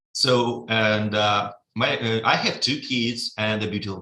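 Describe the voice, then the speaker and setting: A man speaks at a medium pitch with a bright, sharp tone and fairly even intonation. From Russia, Vladivostok. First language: Russian. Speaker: trading software developer. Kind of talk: webinar presentation. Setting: live webinar. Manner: halting, many fillers.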